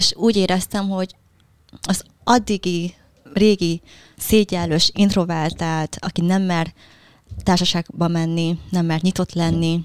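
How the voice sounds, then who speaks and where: Speaking with a Vietnamese accent, a woman of medium pitch talks at a fairly slow pace. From Hungary, moved from Vietnam at 7. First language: Vietnamese (speaking Hungarian). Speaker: relationship mentor, social media creator. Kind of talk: interview.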